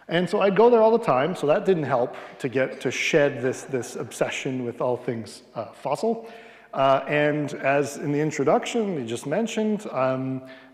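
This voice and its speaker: There is audible room echo as a man with a Canadian accent talks at a moderate pace in a fairly high pitch with very wide pitch swings. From Western Canada, Edmonton, Alberta. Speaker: palaeontologist. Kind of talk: public lecture. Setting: lecture hall with audience, livestreamed.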